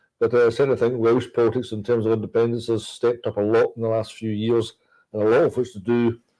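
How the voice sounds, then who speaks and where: A man with a Scottish accent talks at a very fast pace in a monotone, flat intonation at a medium pitch. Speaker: politician. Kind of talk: political talk show discussion. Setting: livestream from Westminster.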